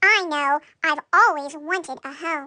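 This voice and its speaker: A woman puts on a squeaky character voice, high in pitch. She speaks at a fairly slow pace. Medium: read story. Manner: wondering, innocent.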